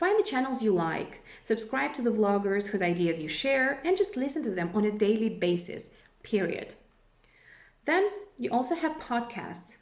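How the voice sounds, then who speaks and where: In a Russian accent, a woman talks at a moderate pace with a fairly high pitch and lively intonation. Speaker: language teacher. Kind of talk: tutorial.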